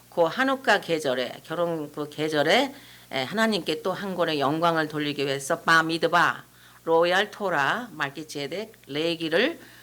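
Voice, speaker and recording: This woman's fairly low voice has a bright, sharp tone and lively intonation. She talks at a fairly slow pace in a very clean recording with a silent background. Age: 70s. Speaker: pastor's wife and Bible teaching author. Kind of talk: informal talk to a church audience.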